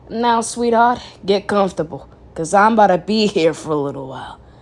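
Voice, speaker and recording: A put-on character voice, female-sounding and raspy, comes at a fairly quick pace. Its pitch sits in the medium range for a woman. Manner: sweet, condescending.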